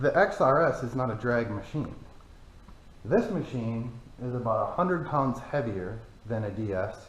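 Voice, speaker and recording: With long, frequent pauses and audible room echo, a man speaks at a moderate pace in a somewhat breathy, medium-pitched voice with lively intonation. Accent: American. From Michigan, US. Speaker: off-road vehicle YouTuber. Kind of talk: casual vehicle review. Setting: cold barn.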